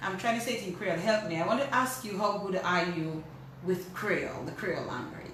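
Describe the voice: A woman's fairly low-pitched voice at a fairly quick pace, with ordinary pitch variation and audible room echo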